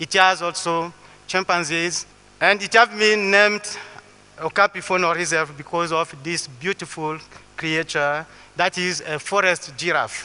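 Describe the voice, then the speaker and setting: In a Congolese accent, a man with a high pitch speaks at a fairly slow pace with fairly even intonation. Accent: French-speaking Congolese accent in English. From Western Congo. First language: French. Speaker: botanist and conservationist. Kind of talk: public talk. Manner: halting.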